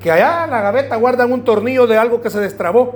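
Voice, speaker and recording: Amid noticeable background noise and audible room echo, a man speaks at a very fast pace in an extremely high pitch. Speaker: pastor. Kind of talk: sermon.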